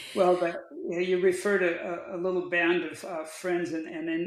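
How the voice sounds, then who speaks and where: In an American accent, a man speaks at a high pitch and moderate pace with fairly even intonation. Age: 70s. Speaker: outdoor adventurer and sustainability advocate. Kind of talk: podcast interview.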